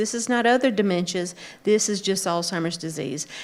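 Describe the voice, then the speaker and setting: A woman with an unremarkable speaking voice talks at medium pitch with ordinary pitch variation. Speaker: clinical social worker. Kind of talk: conference talk.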